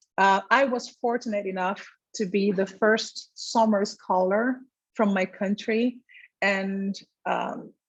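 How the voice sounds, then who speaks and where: A woman speaks in a Portuguese accent with a medium pitch. She goes at a very slow pace. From Brazil. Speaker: infectious disease physician. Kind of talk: career talk. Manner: hesitant with fillers.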